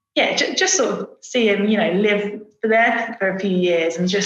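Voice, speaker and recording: A woman's medium-pitched voice at a moderate pace, monotone and flat in intonation, with audible room echo. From Essex, England (Brentwood). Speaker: advertising creative director. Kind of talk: podcast interview. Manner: casual, many fillers.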